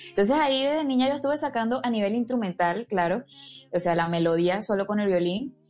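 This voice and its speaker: With music in the background, a woman with a fairly high pitch speaks using lively intonation. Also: fairly quick pace, very even loudness. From Venezuela, Barinas (llanos). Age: 20s. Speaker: violinist and singer. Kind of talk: interview.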